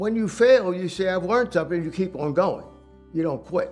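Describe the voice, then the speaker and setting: Over music in the background, a man with a New York accent speaks in a high pitch with ordinary pitch variation. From Manhattan, New York. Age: 80s+. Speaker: business owner. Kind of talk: interview answer.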